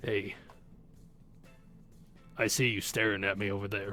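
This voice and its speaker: In a raspy, put-on character voice, the speaker delivers lines at a moderate pace with monotone, flat intonation over clear background noise. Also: man, fairly low pitch for a man. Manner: brooding.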